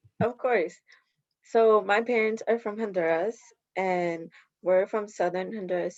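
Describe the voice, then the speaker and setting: Heard over a quiet background, a woman with an American accent and an unremarkable speaking voice talks at a moderate pace and medium pitch, with ordinary pitch variation. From Alexandria, Virginia, US. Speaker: community leader. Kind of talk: panel discussion.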